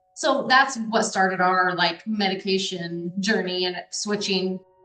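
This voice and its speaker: A woman with an American accent at a medium pitch, ordinary pitch variation, and music in the background. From US Midwest, Des Moines, Iowa. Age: 30s. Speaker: parent of a child with epilepsy. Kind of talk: interview testimony. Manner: animated.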